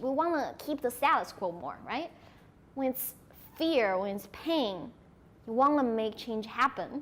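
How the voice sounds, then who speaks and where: A woman talks in a Sichuan accent at a fairly slow pace. Her high voice has lively intonation. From China, Sichuan. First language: Sichuanese Chinese. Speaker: conference speaker. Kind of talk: audience Q&A.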